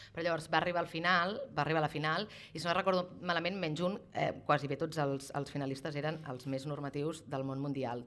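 Here a woman speaks at a fairly quick pace. Her pitch variation is ordinary. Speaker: podcast host. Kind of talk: casual chat. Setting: stage with audience. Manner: fast.

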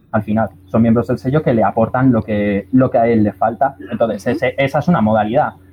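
At a fairly quick pace with hardly any pauses, a man speaks in a medium pitch with ordinary variation. His voice is somewhat breathy. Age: 20s. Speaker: musician and record label member. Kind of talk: panel discussion. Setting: remote connection.

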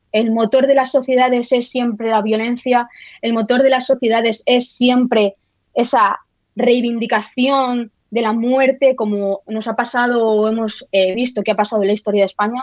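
The delivery is monotone, with flat intonation. It moves along at a moderate pace. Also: woman, high pitch for a woman. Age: 30s. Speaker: historian and writer. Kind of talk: interview. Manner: halting, many repetitions.

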